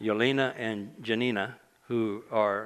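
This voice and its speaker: Medium pitch from a man, fairly even intonation, and an audible echo from the room. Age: 60s. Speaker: preacher. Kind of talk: sermon. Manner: halting.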